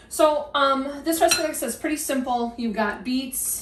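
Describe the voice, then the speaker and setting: Audible room echo and noticeable background noise are present in this clip. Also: woman. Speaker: cooking vlogger. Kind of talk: cooking tutorial. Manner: whispering; halting, many fillers.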